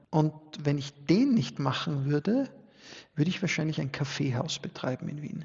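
At a moderate pace, a man speaks in a somewhat breathy, fairly high voice with ordinary pitch variation. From Austria, Styria (upper Murtal). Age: 40s. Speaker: sociologist and business owner. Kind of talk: podcast interview.

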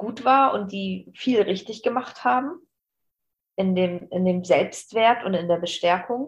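A woman talks at a very slow pace in a somewhat breathy voice with ordinary pitch variation. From northern Germany, Bremen. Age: 40s. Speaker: aspiring business trainer. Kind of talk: podcast interview.

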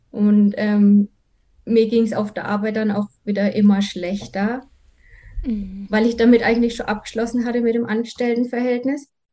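A woman's fairly high voice carries a dark, mellow tone and is somewhat breathy. She speaks at a moderate pace in a flat monotone. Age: 30s. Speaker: virtual assistant, former quality assurance worker. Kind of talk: personal testimony.

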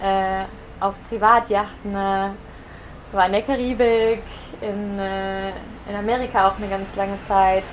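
Noticeable background noise sits under this recording. The woman speaks at a medium pitch with monotone, flat intonation. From Germany. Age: 20s. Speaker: yoga teacher. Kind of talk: casual interview. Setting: in person on Mallorca.

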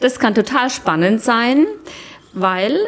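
A woman speaks with a fairly high pitch and lively intonation. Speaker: retreat participant. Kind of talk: interview. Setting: villa on Cyprus during a retreat.

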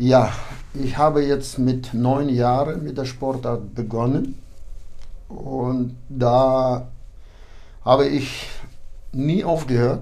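There is audible room echo as a man talks very slowly, with long, frequent pauses. His medium-pitched voice is dark and mellow, its intonation fairly even. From Kyrgyzstan (ethnic German, born in Kazakhstan). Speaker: boxing club official and coach. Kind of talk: interview.

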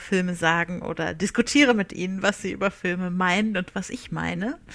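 Speaking at a moderate pace, this woman lets her pitch vary in an ordinary way. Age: 30s. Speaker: social media and PR worker. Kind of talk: recorded self-introduction. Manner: talkative.

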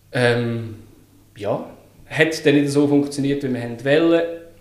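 A man speaks at a medium pitch and a fairly slow pace. His intonation is fairly even, and there is audible room echo. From Switzerland, Lucerne. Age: 30s. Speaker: UX design consultant. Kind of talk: casual interview.

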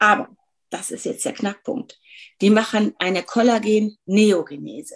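Fairly high-pitched, a woman with an unremarkable speaking voice talks at a fairly slow pace with ordinary pitch variation. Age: 50s. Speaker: dermatologist. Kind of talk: interview.

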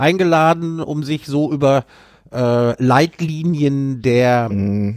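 Speaking very slowly, a man uses a fairly high pitch with ordinary pitch variation. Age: old. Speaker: journalist, podcast co-host. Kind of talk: casual political chat. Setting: remote call.

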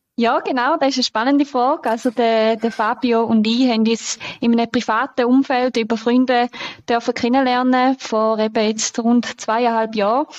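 A woman's high-pitched voice at a moderate pace, monotone and flat in intonation, very even in loudness, dry and close with no echo. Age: 20s. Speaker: deputy managing director. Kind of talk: podcast interview.

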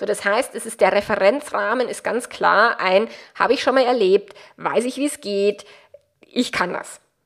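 Speaking at a moderate pace in a Bavarian accent, a woman uses a fairly high pitch and fairly even intonation. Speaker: relationship coach and podcast host. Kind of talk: solo podcast monologue, coaching advice.

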